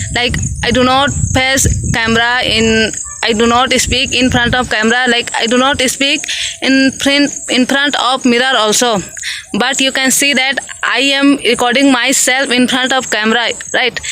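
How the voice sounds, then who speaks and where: A woman with an Indian accent speaks at a high pitch and moderate pace, her monotone, flat intonation and very even loudness set against noticeable background noise. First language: Hindi. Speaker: English learner vlogger. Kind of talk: casual vlog. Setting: outdoors in a field. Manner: halting, repetitive fillers.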